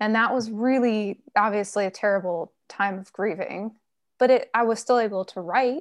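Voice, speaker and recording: Here is a woman with a normal speaking voice, pitched fairly high. She keeps a moderate pace and fairly even intonation over a quiet background. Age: 30s. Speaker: author. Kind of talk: interview.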